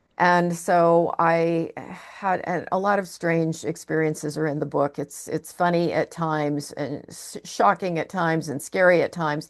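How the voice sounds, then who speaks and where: Against a quiet background, a woman uses a normal speaking voice, fairly low in pitch and fairly even in intonation, at a fairly slow pace with hardly any pauses. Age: 60s. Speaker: psychotherapist and author. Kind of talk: interview.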